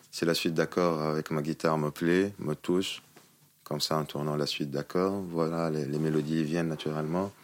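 Noticeable background noise sits behind a man whose very deep, low voice moves at a moderate pace in a monotone, flat intonation. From Tunisia. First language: Tunisian Arabic (speaking French). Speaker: musician. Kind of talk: interview. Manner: halting.

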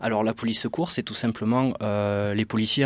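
Pitched fairly low, a man talks with fairly even intonation. His pace is moderate. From southern France, Carcassonne. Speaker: police officer. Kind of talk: interview.

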